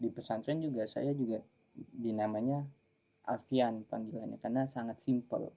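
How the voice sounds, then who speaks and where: Speaking at a moderate pace, a man uses a medium pitch and a dark, mellow tone with fairly even intonation. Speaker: sholawat singer, former pesantren student. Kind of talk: casual chat.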